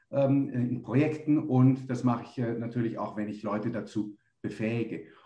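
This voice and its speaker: A man's somewhat breathy voice with a dark, mellow tone at a moderate pace. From Munich, Germany. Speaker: business consultant, company founder. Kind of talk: interview. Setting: remote call.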